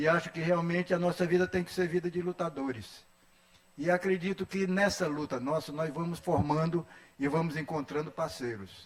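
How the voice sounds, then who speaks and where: This man talks with a high pitch, ordinary pitch variation, and a moderate pace. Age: 80s+. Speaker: educator, education council member. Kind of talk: formal speech at solemn session. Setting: legislative assembly ceremony.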